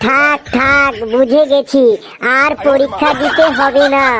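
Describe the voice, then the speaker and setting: Over clear background noise, a woman does a cartoonish character voice, high-pitched with monotone, flat intonation at a fairly slow pace. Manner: complaining, snappish.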